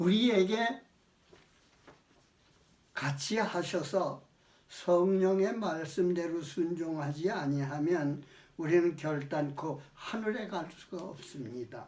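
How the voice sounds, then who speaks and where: A man's high voice at a very slow pace, with long, frequent pauses and noticeable background noise. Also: ordinary pitch variation. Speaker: elderly retired pastor giving a sermon. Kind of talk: sermon, religious teaching.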